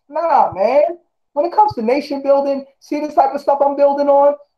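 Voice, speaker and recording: Talking at a fairly quick pace, a man uses an extremely high pitch and an animated tone. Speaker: Five Percenter speaker on nation building. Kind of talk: heated debate. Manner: fast.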